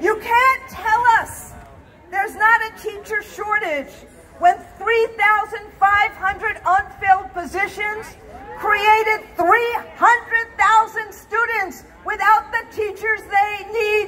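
A woman speaks at a very slow pace in a raised, projected voice with fairly even intonation over light background noise. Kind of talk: rally speech. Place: street.

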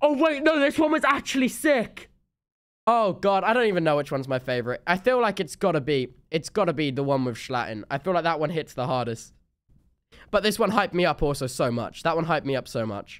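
His pitch leaps up and down over a very wide range. He keeps up a fairly brisk pace. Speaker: streamer. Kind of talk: casual stream reaction chat. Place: home room.

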